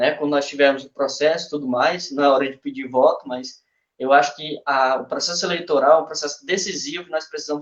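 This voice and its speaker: A man's fairly high-pitched voice, with ordinary pitch variation, comes through as a normal speaking voice. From Brazil, Ceará (Massapê). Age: 20s. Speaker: local political pre-candidate. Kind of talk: political speech in a live stream. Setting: online live stream.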